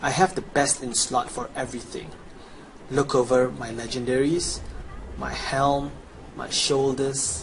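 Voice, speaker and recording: There is noticeable background noise while a man speaks at a fairly slow pace. He has a medium pitch and takes long, frequent pauses. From Chinese background. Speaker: gamer. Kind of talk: game tutorial, promotional pitch. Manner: animated.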